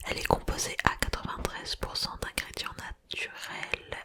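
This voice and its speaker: Whispering at a very slow pace, a woman is heard through noticeable background noise. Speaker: ASMR content creator. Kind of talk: ASMR unboxing in a soft whisper. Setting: close microphone, home recording. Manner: soft-spoken, whispering, relaxed.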